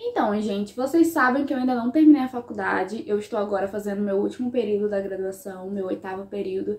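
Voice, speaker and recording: A woman talks at a fairly quick pace in a fairly high voice, her pitch varying in an ordinary way over noticeable background noise. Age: 20s. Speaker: history student and YouTuber. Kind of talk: casual vlog talk to camera.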